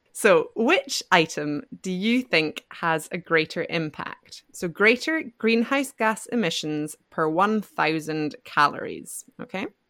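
In a Scottish accent, a woman of medium pitch speaks at a very slow pace with hardly any pauses and very wide pitch swings. The sound is dry and close with no echo, on a very clean recording with a silent background. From Scotland. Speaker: podcast host, founder of an English-learning podcast. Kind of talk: scripted educational podcast chat.

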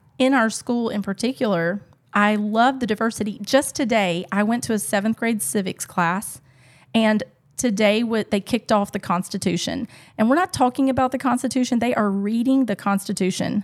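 A fairly high-pitched woman with an American accent and an unremarkable speaking voice, ordinary pitch variation, on a very clean recording with a silent background. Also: moderate pace, dry, close sound with no echo. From Alabama, US South. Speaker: classical education coordinator. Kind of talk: casual discussion.

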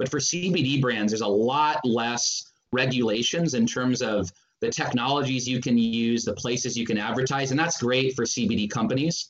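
Here a man has a normal speaking voice at a medium pitch. His pace is moderate, his pitch variation ordinary, and his loudness very even. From Northern California. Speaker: advertising agency co-founder. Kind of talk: interview.

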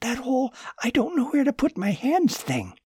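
In a put-on character voice with extremely high pitch, a man speaks with lively intonation over a dry, close sound with no echo. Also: moderate pace. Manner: mocking, imitating.

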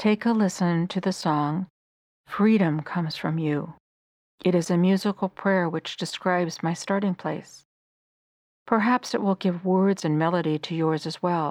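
An unremarkable speaking voice at a fairly slow pace, with fairly even intonation, a dry, close sound with no echo, and a very clean recording with a silent background. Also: woman, fairly low pitch for a woman. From United States. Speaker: faith podcaster. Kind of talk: personal testimony.

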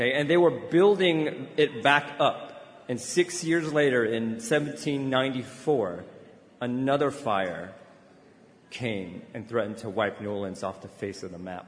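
With an American accent, a man talks at a fairly slow pace with lively intonation and big swings in loudness, against noticeable background noise. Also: medium pitch for a man. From US, Chinese American family. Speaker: convention speaker. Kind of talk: speech. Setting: stage with audience. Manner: halting.

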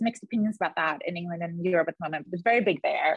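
A woman sounds somewhat breathy in a dry, close recording with no echo. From Sweden, Gothenburg. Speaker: radiologist. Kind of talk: casual interview.

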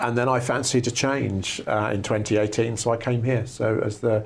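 A man in a southern English accent speaks with fairly even intonation and a somewhat breathy voice. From southern England, West Sussex. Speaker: plant scientist, research institute director. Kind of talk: interview. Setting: in person at his laboratory. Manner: hesitant, many fillers.

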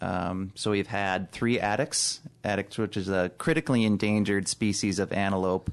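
In an American accent, a man with an unremarkable speaking voice talks at a moderate pace, using a fairly low pitch with ordinary pitch variation. His loudness stays very even over a quiet background. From Chicago, US. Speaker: zookeeper supervisor. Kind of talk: casual interview.

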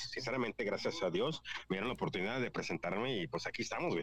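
A man talking at a very fast pace. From California, Mexican-American (parents from Guanajuato). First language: English-dominant heritage Spanish speaker (speaking Spanish). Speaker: podcaster. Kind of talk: casual chat.

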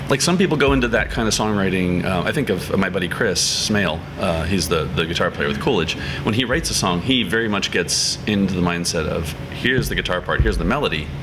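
A man with a very deep, low pitch and an American accent, very fast pace, hardly any pauses and lively intonation, with audible room echo and music in the background. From central Pennsylvania. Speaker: singer-songwriter. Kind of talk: casual chat.

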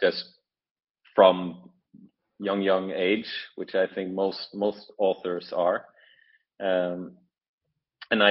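A man speaks very slowly with a Norwegian accent, his fairly low voice held in a monotone with flat intonation. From Norway. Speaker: author. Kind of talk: interview. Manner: halting, many fillers.

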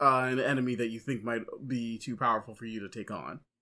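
This man's tone is bright and sharp. The background is silent on a very clean recording. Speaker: comic book podcast co-host. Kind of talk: casual banter podcast chat. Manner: excitable, stumbling over words.

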